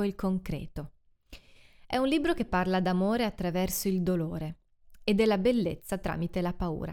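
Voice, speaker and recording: In a normal speaking voice, a woman talks at a moderate pace with lively intonation, on a very clean recording with a silent background. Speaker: podcast host and book reviewer. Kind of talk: literary audiobook reading, solemn and expressive, with a rhetorical question; scripted literary review monologue. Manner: formal, measured, reflective.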